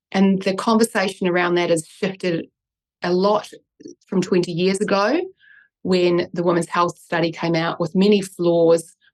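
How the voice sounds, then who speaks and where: This voice carries a New Zealand accent and monotone, flat intonation. It moves at a moderate pace. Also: woman. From New Zealand, Christchurch. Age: 40s. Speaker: neuroscientist and author. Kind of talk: interview.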